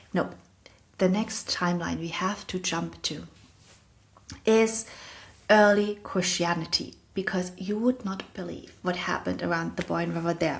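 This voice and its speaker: With a German accent, a woman talks at a fairly slow pace with fairly even intonation and long, frequent pauses. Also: medium pitch for a woman. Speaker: podcast host. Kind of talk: educational monologue.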